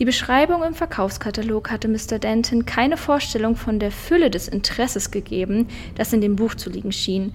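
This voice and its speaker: A woman's animated, fairly high-pitched voice at a moderate pace, with lively intonation and noticeable background noise. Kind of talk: casual chat, then literary audiobook reading. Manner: animated, laughs a lot in chat; in the reading steady, measured, narrating.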